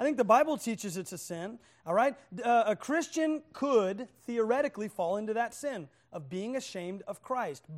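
A man with an American accent speaks at a high pitch and a moderate pace, his tone animated and intonation lively, on a very clean recording with a silent background. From Oklahoma, US (Muskogee). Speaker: visiting preacher. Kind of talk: sermon. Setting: church with audience.

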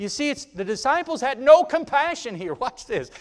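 The man's tone is animated. His pitch swings very widely. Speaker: visiting preacher. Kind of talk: fiery sermon, preaching to a congregation with call-and-response. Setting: church, live congregation. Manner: exhorting, rousing, punctuated by 'amen' prompts.

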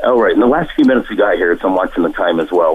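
With an American accent, a man races along at a very fast pace while noticeable background noise carries on. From Utah. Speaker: caller. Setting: phone call.

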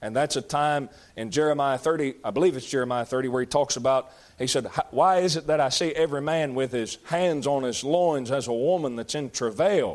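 A man talks at a moderate pace in a fairly high pitch with ordinary pitch variation. He has an unremarkable speaking voice. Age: 30s. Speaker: pastor. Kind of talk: Bible study teaching.

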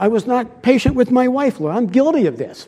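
A man's extremely high-pitched voice with a dark, mellow tone and an American accent. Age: 70s. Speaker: visiting preacher. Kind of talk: sermon.

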